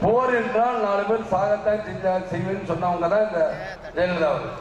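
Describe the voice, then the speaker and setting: There is noticeable background noise behind this man. His voice is high-pitched and his intonation fairly even. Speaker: political party leader campaigning. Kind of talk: election campaign rally speech. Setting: outdoor rally, addressing a crowd. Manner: loud, rhetorical, addressing the crowd.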